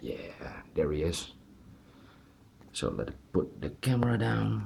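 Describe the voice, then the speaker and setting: A man with a Dutch accent speaks at a very slow pace in a very deep, low pitch. His pitch swings are very wide. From Netherlands. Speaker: toy collector reviewer. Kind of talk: unboxing review. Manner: halting, many fillers.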